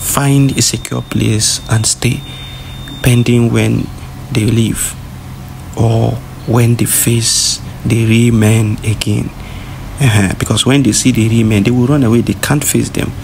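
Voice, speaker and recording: A man at a fairly slow pace with fairly even intonation, very even loudness and long, frequent pauses, over noticeable background noise. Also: medium pitch for a man. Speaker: separatist news commentator. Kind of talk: rally speech. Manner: urgent, preachy, admonishing; emphatic, repetitive, rallying-cry cadence.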